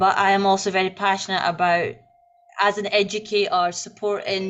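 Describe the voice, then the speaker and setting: Monotone, flat intonation in a Scottish accent comes through with music in the background. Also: woman. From Scotland. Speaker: secondary school teacher. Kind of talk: online panel introduction. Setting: video call live stream.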